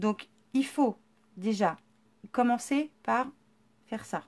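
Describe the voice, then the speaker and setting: High female speech, very cleanly recorded against a silent background. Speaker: scrapbooking workshop presenter. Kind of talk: live-stream tutorial.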